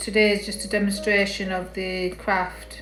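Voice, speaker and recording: A woman with an English accent is heard over background music, with audible room echo. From northern England. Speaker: craft tutorial creator. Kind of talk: casual tutorial livestream. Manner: halting.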